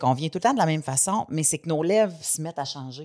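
Against a quiet background, a woman with a very deep, low pitch speaks very fast with lively intonation. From Quebec. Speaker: podcast co-host; comedian. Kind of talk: casual chat. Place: studio. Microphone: studio mic.

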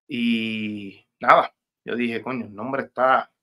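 A man at medium pitch, bright and sharp in tone, with monotone, flat intonation over a quiet background. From Puerto Rico, Levittown; Puerto Rico. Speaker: rapper; guest. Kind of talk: interview. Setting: video call. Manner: halting, many repetitions. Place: home room. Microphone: video call.

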